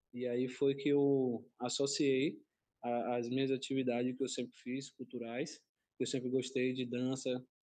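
A man speaks at a fairly slow pace in a medium pitch, with a monotone, flat intonation. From Salvador, Bahia, Brazil (Castelo Branco neighborhood). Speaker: capoeira teacher and community cultural space manager. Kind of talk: casual panel discussion.

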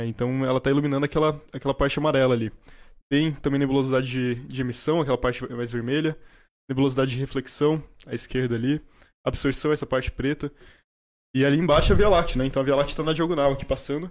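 On a very clean recording with a silent background, a man talks at a very fast pace with a fairly high pitch and fairly even intonation. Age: 20s. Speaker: astronomy student and astrophotographer. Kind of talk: casual chat.

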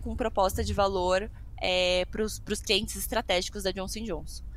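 At a moderate pace, a woman of medium pitch speaks with vocal fry. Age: 30s. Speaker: healthcare innovation executive. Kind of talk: casual interview.

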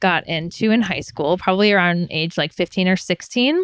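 A woman's fairly low voice with ordinary pitch variation, dry and close with no echo, in a very clean recording with a silent background. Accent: US Midwestern. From Michigan, US Midwest. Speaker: melanoma survivor and sun safety advocate. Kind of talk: interview.

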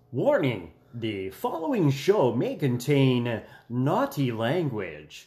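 In a put-on character voice, a man speaks very slowly at medium pitch. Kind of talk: formal, announcer-like.

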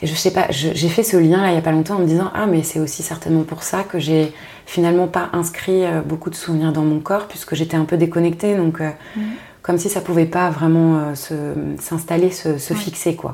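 A woman talks with a fairly low pitch and a monotone, flat intonation. Noticeable background noise runs under her voice. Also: moderate pace. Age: 30s. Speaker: podcaster and strategy consultant. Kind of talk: casual interview conversation.

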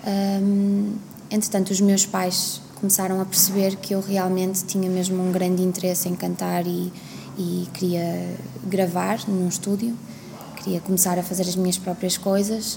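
A woman's medium-pitched voice, flat and monotone, fairly slow, very even in loudness, over noticeable background noise. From Portugal. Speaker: singer. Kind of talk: interview. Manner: hesitant.

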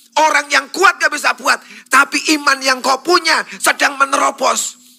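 A man's raised, projected voice at a moderate pace, with fairly even intonation. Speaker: pastor. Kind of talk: sermon.

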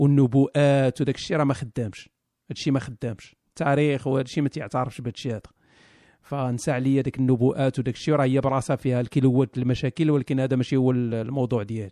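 With a dry, close sound and no echo, a man talks very fast at a medium pitch, his dark, mellow tone kept to fairly even intonation. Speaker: live stream host. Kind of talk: casual banter, live stream chat. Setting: live stream with audience.

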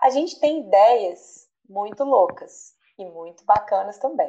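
A woman with a normal speaking voice, fairly high pitched, lively in intonation, at a fairly slow pace. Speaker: podcast host, chemistry professor. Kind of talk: casual chat.

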